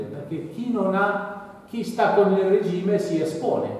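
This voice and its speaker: Heavy room echo surrounds a man speaking at a high pitch. Light background noise is also present. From Algeria. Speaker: author. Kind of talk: public talk. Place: hall. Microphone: camera far.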